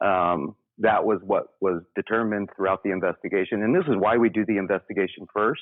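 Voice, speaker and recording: A man with an unremarkable speaking voice, fairly low in pitch, fairly quick, with fairly even intonation. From US South, Memphis, Tennessee. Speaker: paranormal investigator. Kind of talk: interview.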